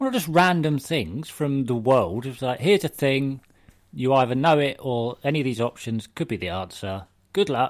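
A man with an unremarkable speaking voice talks at medium pitch and a moderate pace, with lively intonation. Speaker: podcast host. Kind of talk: casual chat.

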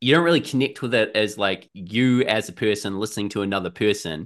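Against a quiet background, a man talks at a fairly quick pace in a fairly low pitch with ordinary pitch variation. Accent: New Zealand. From New Zealand, Auckland. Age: 30s. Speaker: musician and gig reviewer. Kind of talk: casual chat.

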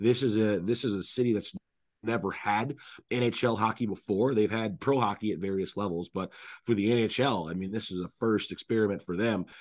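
A man with an unremarkable speaking voice talks at a fairly quick pace, his fairly low pitch held in a fairly even intonation. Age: 30s. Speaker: hockey play-by-play radio announcer. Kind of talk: casual chat.

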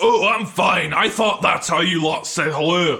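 In a cartoonish character voice, a man speaks at a fairly high pitch and a fairly slow pace, his bright, sharp tone carrying vocal fry and ordinary pitch variation.

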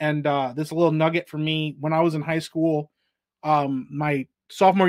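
On a very clean recording with a silent background, a man uses a normal speaking voice, fairly high in pitch, with fairly even intonation. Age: 30s. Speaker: gamer and pop culture commentator. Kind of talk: casual chat. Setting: live streamed podcast.

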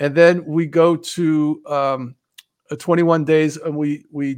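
The speaker has a slight New Jersey accent and fairly even intonation. The background is quiet. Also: man. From New Jersey, Montclair. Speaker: author. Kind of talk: casual chat.

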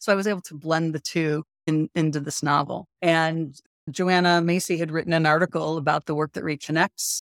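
In a dry, close recording with no echo, a woman with an American accent speaks at a fairly quick pace in a fairly low, monotone voice with flat intonation. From US Midwest, north of Chicago. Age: 60s. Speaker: shamanic practitioner and teacher. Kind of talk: casual interview chat.

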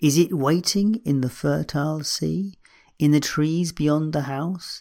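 This man has a normal speaking voice with ordinary pitch variation. The recording is very clean, the background silent. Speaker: midlife coach and podcast host. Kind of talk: poetry reading aloud, read-out poem at start; solo shortcast monologue. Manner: slow, measured, contemplative; reverent, gentle, unhurried delivery with pauses.

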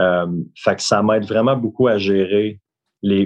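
A man speaks with fairly even intonation. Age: 30s. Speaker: real estate broker. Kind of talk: interview.

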